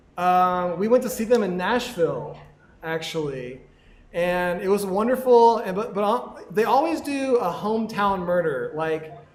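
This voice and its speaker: A high-pitched male voice with lively intonation, a fairly slow pace and audible room echo. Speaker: podcast co-host. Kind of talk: live podcast chat. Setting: live recording with audience at a venue. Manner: mumbling.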